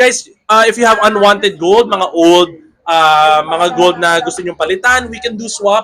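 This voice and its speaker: A man with a high pitch at a moderate pace. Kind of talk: sales pitch. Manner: lowered voice.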